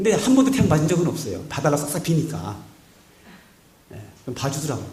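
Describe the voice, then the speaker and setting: Over noticeable background noise and audible room echo, a man with a fairly high pitch talks at a fairly quick pace, his pitch swinging very widely. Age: 50s. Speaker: pastor. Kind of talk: sermon. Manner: animated.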